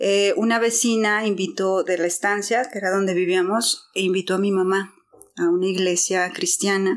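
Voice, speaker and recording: In a very clean recording with a silent background, a woman with an ordinary speaking voice talks at a moderate pace and medium pitch, with ordinary pitch variation. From Guadalajara, Mexico. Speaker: church member. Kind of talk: testimony.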